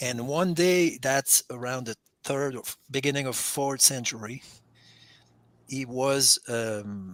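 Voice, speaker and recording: A man with a non-native accent speaks very slowly, his loudness swinging widely, in a dry, close sound with no echo. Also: medium pitch for a man, ordinary pitch variation. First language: not English. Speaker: caller on a Bible call-in show. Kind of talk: casual theological discussion. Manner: halting, with many repeated words.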